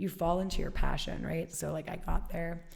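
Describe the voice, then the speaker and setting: Speaking at a fairly quick pace with an American accent, a woman has a gravelly voice, and the room echo is audible. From Alaska. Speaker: fitness studio founder. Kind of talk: interview. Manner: animated.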